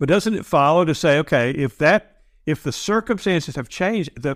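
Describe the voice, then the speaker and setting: Speaking at a moderate pace with an American accent, a man's pitch swings very widely in a dry, close sound with no echo on a very clean recording with a silent background. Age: 60s. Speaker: podcast host. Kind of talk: interview conversation. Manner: halting, many repetitions.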